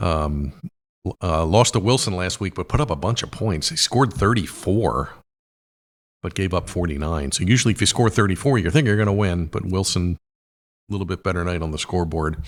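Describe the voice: A raspy man's voice, low in pitch and fairly quick, on a very clean recording with a silent background. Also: ordinary pitch variation.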